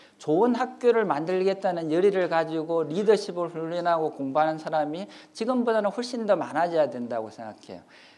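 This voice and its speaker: There is audible room echo as a man with a high pitch talks at a fairly quick pace with hardly any pauses, his intonation lively and his loudness swinging widely. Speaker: professor. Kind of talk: lecture. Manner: fast.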